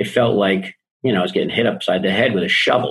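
Somewhat breathy, a man with an American accent talks at a fairly quick pace with ordinary pitch variation. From Boston. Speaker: life and business coach. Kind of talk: podcast interview.

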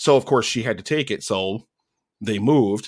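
In a very clean recording with a silent background, a man talks fairly quickly in an ordinary speaking voice at a fairly low pitch. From Pennsylvania, US. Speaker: film podcaster. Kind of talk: casual chat.

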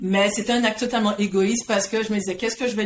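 A woman talks at a very fast pace with a medium pitch and fairly even intonation. Noticeable background noise is present. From Guadeloupe. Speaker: career coach. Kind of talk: interview.

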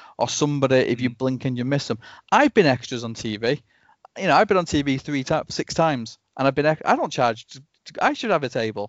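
Very fast male speech at a fairly high pitch. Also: ordinary pitch variation. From northern England, Rochdale. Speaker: convention organiser. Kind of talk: casual chat.

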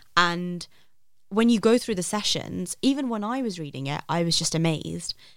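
In a London accent, a woman talks with lively intonation at a fairly low pitch, on a very clean recording with a silent background. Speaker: app founder. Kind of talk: casual chat.

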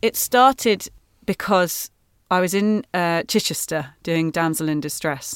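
A woman with a fairly low pitch speaks at a fairly slow pace with lively intonation, on a very clean recording with a silent background and a dry, close sound with no echo. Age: 30s. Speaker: musical theatre actress. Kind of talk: casual interview. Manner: hesitant, many fillers.

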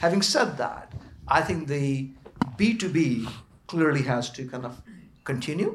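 This man's voice sits at a fairly high pitch and sounds somewhat breathy, broken by long, frequent pauses. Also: lively intonation, fairly slow pace. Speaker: panelist.

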